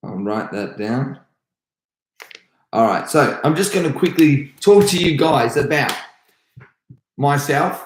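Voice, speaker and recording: Speaking fairly slowly, a man has an Australian accent. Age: 30s. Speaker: karate instructor. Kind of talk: live stream Q&A. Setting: live stream at home. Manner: energetic.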